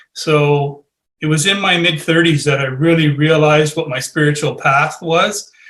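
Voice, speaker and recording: A man speaks at a moderate pace with fairly even intonation. His tone is bright and sharp. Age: 60s. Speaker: spiritual author. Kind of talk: podcast interview.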